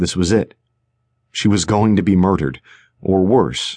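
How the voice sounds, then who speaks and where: Against a quiet background, a man with a very deep, low pitch talks in an animated tone marked by vocal fry. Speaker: audiobook narrator. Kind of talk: dramatic audiobook narration with character voices. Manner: suspenseful, animated, shifting between characters.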